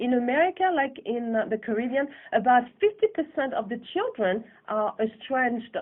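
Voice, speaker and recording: Her high-pitched voice carries lively intonation as the woman speaks. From France (Paris), born in Guadeloupe. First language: French. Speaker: filmmaker. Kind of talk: radio interview. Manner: halting, with many fillers.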